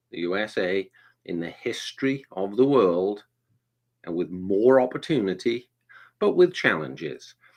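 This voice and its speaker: In a Welsh accent, a man with a fairly low pitch speaks at a fairly slow pace with lively intonation, big swings in loudness, and long, frequent pauses. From Wales. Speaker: performance coach. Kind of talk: live online interview.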